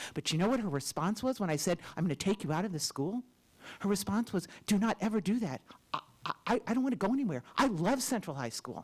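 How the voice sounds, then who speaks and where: A very fast pace with very wide pitch swings, in an American accent. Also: woman, medium pitch for a woman. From Champaign, Illinois, US Midwest. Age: 60s. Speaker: public commenter at school board meeting. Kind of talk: public comment speech. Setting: school board meeting room. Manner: impassioned.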